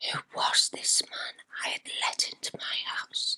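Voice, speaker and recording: A woman is whispering. The sound is dry and close, with no echo. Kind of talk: ASMR true ghost story narration. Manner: whispered.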